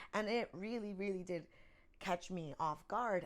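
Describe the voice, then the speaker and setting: A woman speaks with a New York accent. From Bronx, New York. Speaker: actor. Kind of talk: interview answer.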